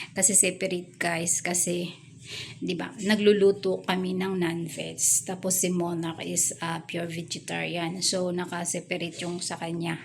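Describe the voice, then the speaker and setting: A soft-spoken woman talks with a fairly low pitch and vocal fry. Her intonation stays monotone and flat. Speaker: vlogger. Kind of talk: casual house tour vlog. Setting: home kitchen. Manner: soft-spoken, quiet.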